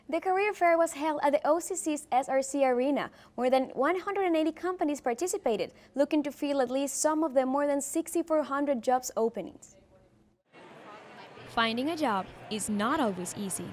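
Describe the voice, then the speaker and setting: Over noticeable background noise, a woman talks at a fairly quick pace in a high pitch with lively intonation. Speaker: TV news reporter. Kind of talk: TV news report.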